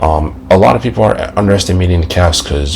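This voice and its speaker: The man talks at a fairly quick pace. Noticeable background noise and audible room echo fill the recording. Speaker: sports podcaster. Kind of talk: casual sports commentary.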